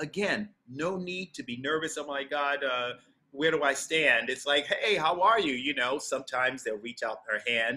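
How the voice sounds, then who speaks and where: With an American accent, a man speaks at a fairly high pitch in a bright, sharp tone. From New York City (Harlem). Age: 60s. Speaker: Broadway actor. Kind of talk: master class. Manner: animated.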